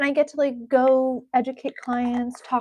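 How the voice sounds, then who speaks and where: A woman speaks with an American accent. Her high-pitched voice has a dark, mellow tone. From US New England, Rhode Island. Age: 30s. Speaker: beauty and self-improvement YouTuber. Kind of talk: live stream chat and tutorial. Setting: live stream at home. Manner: casual, chatty.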